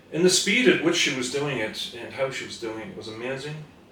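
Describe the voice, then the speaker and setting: Audible room echo and noticeable background noise surround a man talking at a fairly quick pace. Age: 60s. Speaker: therapist. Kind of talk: casual interview.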